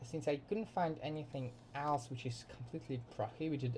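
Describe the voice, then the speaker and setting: With a dark, mellow tone that is somewhat breathy, a man speaks at a moderate pace with ordinary pitch variation. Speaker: student. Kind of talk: class presentation. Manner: halting.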